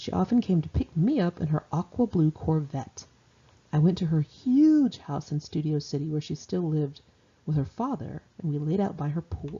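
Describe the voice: A woman speaks low, with a dark, mellow tone and a slightly husky edge. Her intonation is lively and her pace fairly slow.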